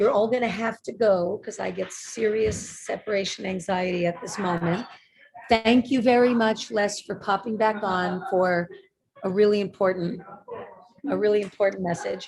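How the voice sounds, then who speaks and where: With a normal speaking voice, a woman talks at a moderate pace and a middle pitch, her intonation fairly even. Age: 50s. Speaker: webinar presenter. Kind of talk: interactive webinar.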